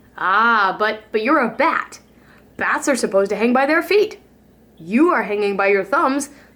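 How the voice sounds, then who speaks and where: A loud, put-on character voice that sounds female, pitched fairly high for a woman. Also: moderate pace. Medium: read story.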